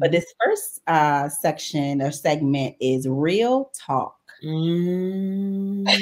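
A woman with an American accent talks at a very slow pace in a fairly low voice. Her intonation is lively, and her loudness stays very even. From Jacksonville, Florida (US South). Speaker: podcast co-host. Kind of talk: casual chat. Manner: animated.

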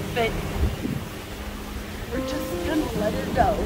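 Loud background music with a dry sound and no echo. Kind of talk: memorial eulogy. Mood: tender, grieving, lightly humorous. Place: boat.

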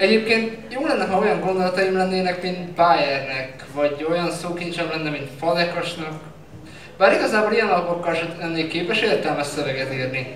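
Audible room echo and light background noise surround a man speaking in a high pitch. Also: ordinary pitch variation, moderate pace. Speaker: slam poet. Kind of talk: slam poetry performance. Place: stage.

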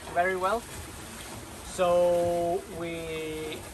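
A man's high-pitched voice over noticeable background noise. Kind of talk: casual vlog chat. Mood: rueful, calm retelling. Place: boat. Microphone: phone near.

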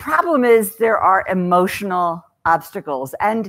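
A woman's voice with very wide pitch swings, against a quiet background. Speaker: author and speaker on downsizing. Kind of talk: talk to a live audience. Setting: stage with audience. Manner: loud; humorous storyteller. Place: hall.

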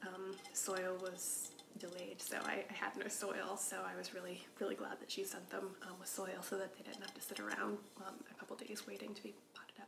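A soft-spoken woman whispers at a moderate pace. Noticeable background noise sits behind her. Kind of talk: casual vlog chat. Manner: soft ASMR whisper, rambling. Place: home room. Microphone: camera far.

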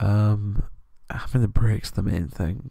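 Whispering with a British accent, a man sounds soft-spoken and somewhat breathy. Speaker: ASMR creator. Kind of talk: ASMR soft-spoken chat. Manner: soft-spoken whisper.

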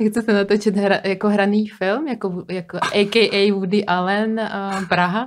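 A woman with a non-native accent speaks at a moderate pace in a monotone, flat intonation. Light background noise is audible. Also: medium pitch for a woman, hardly any pauses. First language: not Czech (speaking Czech). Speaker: podcast host. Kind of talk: interview. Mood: curious, light and friendly. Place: studio. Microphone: studio mic.

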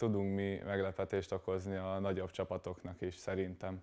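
Over a quiet background, a man speaks at a moderate pace with a fairly low pitch and a dark, mellow tone. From Hungary, Kecskemét; Hungary. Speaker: volleyball player; guest. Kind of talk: studio interview. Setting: TV studio. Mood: calm, modestly confident. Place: studio. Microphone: lapel.

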